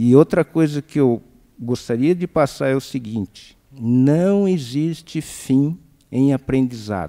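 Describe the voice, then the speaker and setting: A man talks at a very slow pace in a dark, mellow tone. The background is quiet. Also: lively intonation. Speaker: veteran brewer. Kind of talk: panel discussion. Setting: stage with audience. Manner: animated. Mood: warm, reflective. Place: stage. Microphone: handheld.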